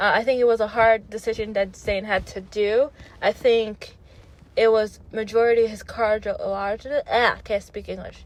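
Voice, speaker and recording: A woman with a non-native accent speaks at a fairly high pitch in a monotone, flat intonation. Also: moderate pace. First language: not English. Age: 30s. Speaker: pop culture vlogger. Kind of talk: casual commentary. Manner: halting, many fillers.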